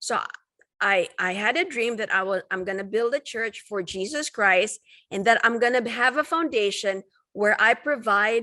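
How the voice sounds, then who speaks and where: Heard in a very clean recording with a silent background, a woman with a fairly high pitch and a bright, sharp tone speaks at a fairly slow pace with ordinary pitch variation. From Philippines. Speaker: physician and real estate investor. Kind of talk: interview.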